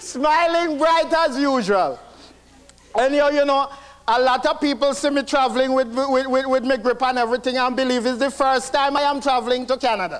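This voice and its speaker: A man's extremely high voice in a Jamaican accent, with very even loudness and noticeable background noise. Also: moderate pace. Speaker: stand-up comedian. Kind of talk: stand-up comedy set. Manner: storytelling, conversational.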